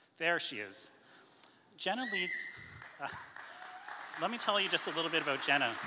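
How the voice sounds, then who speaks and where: Over crowd noise, a man with a high voice talks at a fairly quick pace, his pitch swinging very widely, with long, frequent pauses. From Canada. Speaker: lawyer. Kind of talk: presentation. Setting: stage with audience. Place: hall. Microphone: handheld.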